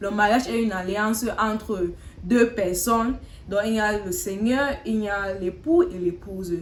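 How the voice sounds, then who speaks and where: Her voice is fairly high, with ordinary pitch variation. The woman is heard over noticeable background noise. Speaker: talk show host. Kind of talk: casual chat. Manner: halting.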